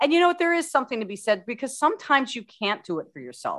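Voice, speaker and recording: A woman with an American accent speaks in a bright, sharp tone, her pitch swinging very widely. The background is quiet. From California desert, US West Coast. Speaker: holistic life coach. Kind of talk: interview.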